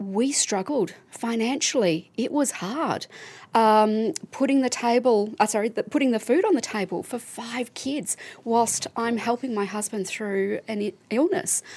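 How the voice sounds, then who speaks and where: With an Australian accent, a woman speaks fairly slowly at a fairly high pitch, her intonation lively. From Melbourne, Australia. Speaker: charity CEO. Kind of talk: casual chat. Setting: studio.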